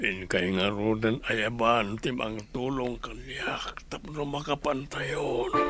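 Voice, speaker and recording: A man uses a put-on character voice at a medium pitch. He speaks at a very slow pace with clear music in the background. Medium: audio drama.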